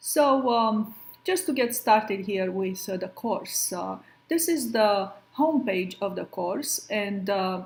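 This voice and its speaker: A woman with a Romanian accent, very slow and somewhat breathy, her fairly high pitch carried by lively intonation, in a very clean recording with a silent background. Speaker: professor. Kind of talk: lecture. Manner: hesitant, many fillers.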